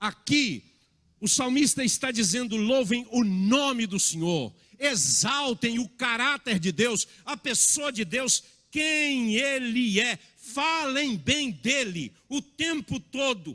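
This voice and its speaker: A man's raised, projected voice, extremely high and bright, sharp in tone, very slow, with lively intonation. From Minas Gerais, Brazil (born in Bahia). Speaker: pastor. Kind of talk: sermon.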